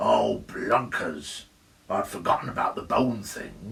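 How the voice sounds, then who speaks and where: A man puts on a growling, croaky character voice. He speaks at a fairly slow pace. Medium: read story.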